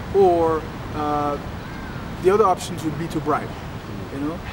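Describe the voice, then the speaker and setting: Speaking at a moderate pace with ordinary pitch variation, a man is heard through audible room echo and noticeable background noise. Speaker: entrepreneur and coach. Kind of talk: personal video diary. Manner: halting, with many fillers and repeats.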